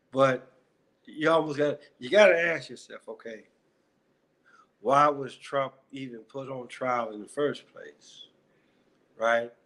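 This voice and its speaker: A man with an American accent, very slow pace, long and frequent pauses, ordinary pitch variation and big swings in loudness. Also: medium pitch for a man. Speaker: YouTuber, commentary vlogger. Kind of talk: casual commentary vlog.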